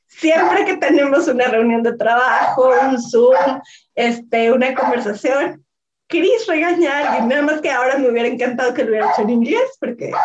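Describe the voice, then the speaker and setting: A high-pitched woman at a moderate pace, with ordinary pitch variation. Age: 30s. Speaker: podcast host. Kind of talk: casual chat.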